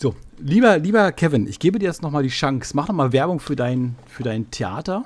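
A man talks at a fairly quick pace in a fairly high pitch. His voice makes very wide pitch swings. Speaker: podcast host. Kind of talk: casual chat.

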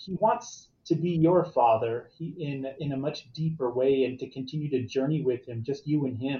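Somewhat breathy and fairly high in pitch, a man speaks with ordinary pitch variation. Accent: American. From Arizona. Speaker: guest on faith podcast about infertility. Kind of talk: casual interview chat.

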